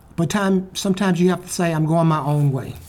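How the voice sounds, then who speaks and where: A man's high-pitched voice, dark and mellow in tone, with ordinary pitch variation and an Alabama accent. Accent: Southern US (Alabama). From US South, Birmingham, Alabama. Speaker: public speaker, retired news cameraman. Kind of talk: storytelling talk and interview booth answers.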